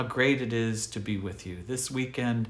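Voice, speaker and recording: In a room with audible echo, a man speaks at a moderate pace and medium pitch with fairly even intonation. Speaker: pastor. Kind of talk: livestreamed devotional message. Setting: live online broadcast from his desk. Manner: casual, conversational.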